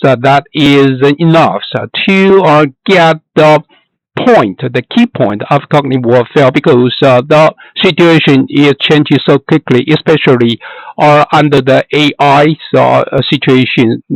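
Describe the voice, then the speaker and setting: Speaking at a fairly slow pace with a Chinese accent, a man with a fairly high pitch shows ordinary pitch variation and very even loudness, recorded with a dry, close sound and no echo. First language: Mandarin Chinese. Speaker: academic researcher. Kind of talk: recorded lecture. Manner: halting, many fillers.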